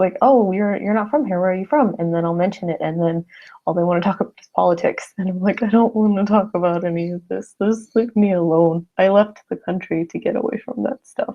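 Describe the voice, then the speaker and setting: With an American accent, a woman uses a normal speaking voice at medium pitch with ordinary pitch variation. She talks fairly quickly, and her loudness swings widely. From US Southwest, Arizona (Phoenix). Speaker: YouTuber. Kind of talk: casual live stream chat. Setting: live stream. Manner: casual, filler-heavy.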